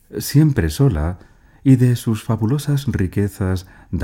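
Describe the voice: Plain reading aloud carries lively intonation from start to finish.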